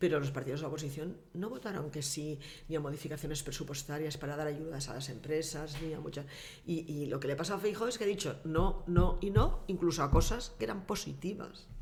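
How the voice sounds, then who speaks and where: The pace is fairly quick. Audible room echo and noticeable background noise surround the voice. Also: woman, very deep, low pitch for a woman, ordinary pitch variation. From Valencian Community, Castellón province (Vinaròs). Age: 60s. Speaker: former mayor and politician. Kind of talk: casual interview.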